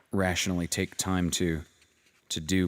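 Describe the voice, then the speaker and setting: With a very deep, low voice, a man speaks at a moderate pace in a relaxed tone. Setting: cabin by a fireplace. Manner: relaxed, soft-spoken, meditative.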